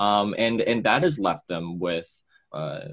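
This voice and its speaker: Speaking with an American accent, a man keeps ordinary pitch variation. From Massachusetts, north of Boston. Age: young. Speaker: mental health activist. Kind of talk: interview. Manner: halting, many repetitions and fillers.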